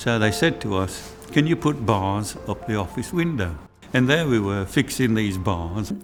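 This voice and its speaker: Over music in the background, the voice moves at a fairly slow pace with very wide pitch swings. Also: man. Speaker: retired factory worker. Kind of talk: interview testimony. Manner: halting.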